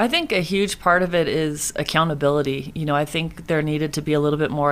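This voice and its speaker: Fairly quick and fairly even in intonation, a woman talks. She has a Californian accent. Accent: Californian American. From Northern California (Moraga). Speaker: women's basketball head coach. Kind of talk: casual interview.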